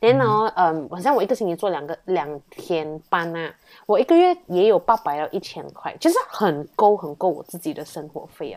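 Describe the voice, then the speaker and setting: In an ordinary speaking voice, a woman talks at a moderate pace with lively intonation and a fairly low pitch, on a very clean recording with a silent background. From Malaysia. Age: 20s. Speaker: university student. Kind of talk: casual interview chat.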